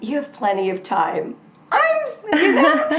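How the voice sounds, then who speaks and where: With an American accent, a woman talks at a moderate pace in an animated tone, her pitch swinging very widely, amid noticeable background noise and audible room echo. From US West Coast (Southern California). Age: 60s. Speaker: author. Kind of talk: interview conversation.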